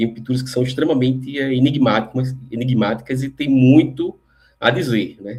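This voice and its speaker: The voice belongs to a man and is somewhat breathy. His intonation stays fairly even. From Recife, northeast Brazil. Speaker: lecturer on spirituality. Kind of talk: lecture. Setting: live online stream.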